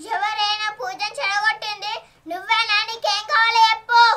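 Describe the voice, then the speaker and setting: A cackling, put-on character voice moves at a fairly slow pace with fairly even intonation. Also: woman, extremely high pitch for a woman. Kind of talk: village comic melodrama. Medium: short film. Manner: theatrical, cackling.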